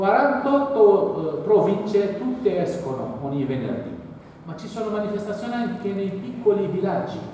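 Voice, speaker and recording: A high-pitched man speaks at a fairly slow pace with lively intonation. Strong room echo and light background noise fill the recording. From Algeria. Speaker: author. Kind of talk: public talk. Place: hall. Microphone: camera far.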